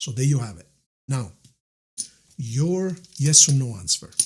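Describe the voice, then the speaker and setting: With an Italian accent, a man at a medium pitch sounds somewhat breathy and uses ordinary pitch variation. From Italy. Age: 60s. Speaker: tarot reader. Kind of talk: tarot reading. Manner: warm, conversational.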